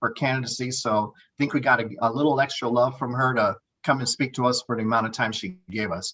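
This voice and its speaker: A man talks at a fairly quick pace. His pitch is medium, with ordinary variation. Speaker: political organizer. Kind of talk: presentation. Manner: fast.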